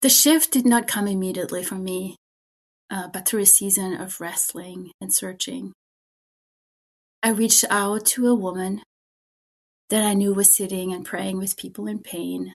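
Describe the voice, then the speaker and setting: A medium-pitched woman with a German accent, moderate pace and long, frequent pauses. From Germany. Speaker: spiritual director. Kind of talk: interview.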